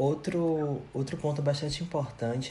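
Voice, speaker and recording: The intonation of this man's voice is fairly even. Room echo is audible. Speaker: podcast host, psychologist. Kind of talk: interview. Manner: scripted.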